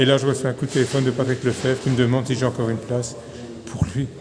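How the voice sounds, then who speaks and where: There is noticeable background noise and audible room echo. Through it, a man speaks at a medium pitch. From Belgium, Mouscron (Wallonia). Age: 60s. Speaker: retired cyclist and race organizer. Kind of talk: interview. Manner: hesitant, with fillers.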